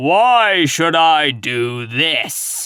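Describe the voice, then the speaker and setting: A man puts on a gruff, growling character voice, bellowing at a fairly high pitch. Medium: read story. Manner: gruff, commanding.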